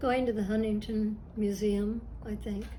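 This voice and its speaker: A woman's fairly high, somewhat breathy voice with a dark, mellow tone, ordinary pitch variation, a very slow pace and audible room echo. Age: old. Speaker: artist. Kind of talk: interview answers.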